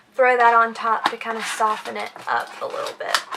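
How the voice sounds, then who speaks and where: Amid noticeable background noise, a woman with a high voice speaks at a moderate pace. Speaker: beauty vlogger. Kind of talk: product haul review. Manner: animated.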